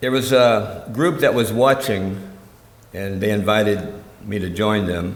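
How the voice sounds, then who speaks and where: Amid audible room echo, a man with a fairly low voice speaks at a fairly slow pace with ordinary pitch variation. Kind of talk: religious talk to a congregation. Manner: animated storytelling.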